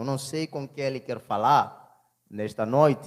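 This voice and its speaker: This man talks at a fairly slow pace, his fairly high voice rising and falling in an ordinary way. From Mozambique. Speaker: preacher. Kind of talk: sermon.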